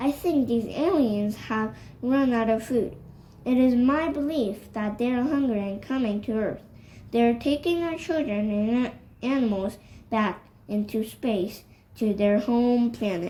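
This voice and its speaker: Using a put-on character voice, a woman talks at a moderate pace and a fairly high pitch. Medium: read story.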